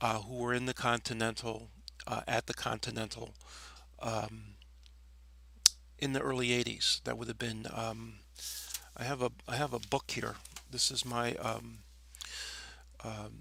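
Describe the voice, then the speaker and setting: At a moderate pace, a man talks with an American accent. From New York City (Staten Island). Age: 60s. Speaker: former nightclub DJ. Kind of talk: personal reminiscence monologue. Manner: hesitant, many fillers.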